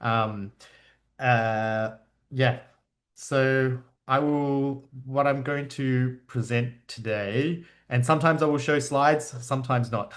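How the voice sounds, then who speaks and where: The background is quiet as a man speaks very slowly. His pitch is medium and his intonation fairly even. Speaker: media artist and educator. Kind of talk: online presentation. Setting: video call.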